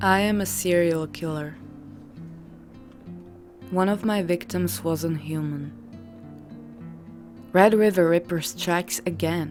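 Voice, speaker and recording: A woman's fairly low voice with very wide pitch swings, a very slow pace, long, frequent pauses and music in the background. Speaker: horror story narrator. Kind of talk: horror story narration.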